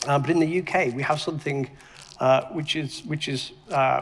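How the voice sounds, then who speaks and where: A man with a fairly high voice talks fairly quickly and fairly evenly, with noticeable noise in the background. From UK. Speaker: tech entrepreneur and investor. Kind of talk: panel discussion. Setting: stage with audience. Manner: halting, many repetitions.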